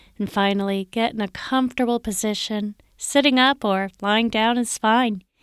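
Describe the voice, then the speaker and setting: An ordinary speaking voice from a woman at medium pitch, fairly slow and fairly even in intonation, dry and close with no echo on a very clean recording with a silent background. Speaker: podcast announcer. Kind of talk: scripted announcement. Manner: clear, calm, formal.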